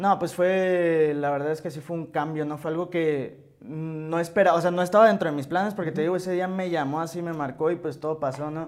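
A high-pitched man talks at a fairly quick pace with fairly even intonation and hardly any pauses. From Mexico, Hermosillo, Sonora. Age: 20s. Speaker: rapper and music producer. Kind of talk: interview, casual chat.

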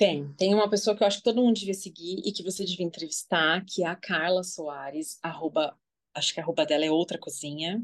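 A woman with a plain, everyday voice talks at a fairly quick pace in a fairly low pitch with ordinary pitch variation. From Brazil, São Paulo. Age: 40s. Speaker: social media user, guest. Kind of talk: casual chat.

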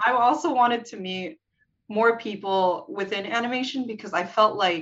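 A woman with an ordinary speaking voice, moderate pace and ordinary pitch variation. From US West Coast. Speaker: animation artist. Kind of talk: casual interview.

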